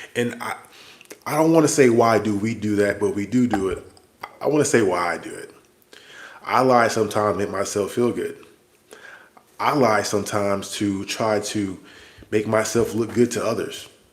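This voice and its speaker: A man talks at a moderate pace with a fairly low pitch and ordinary pitch variation. Long, frequent pauses break up his speech. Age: 40s. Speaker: army soldier and vlogger. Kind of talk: livestream monologue. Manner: casual, conversational.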